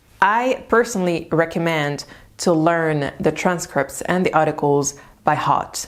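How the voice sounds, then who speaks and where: A woman speaks with a French accent in a very deep, low pitch. The recording is very clean, with a silent background. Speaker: language-learning youtuber. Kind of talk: tutorial.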